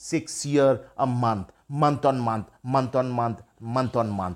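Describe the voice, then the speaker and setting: A man with a Bengali accent at a very slow pace. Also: very clean recording, silent background. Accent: Indian English (Bengali). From India, West Bengal. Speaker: life coach. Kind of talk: personal story monologue.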